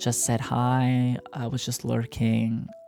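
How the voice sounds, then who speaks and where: A soft-spoken voice in a relaxed tone comes over music in the background. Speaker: gaming content creator. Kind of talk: soft spoken gameplay commentary. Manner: soft-spoken, relaxed.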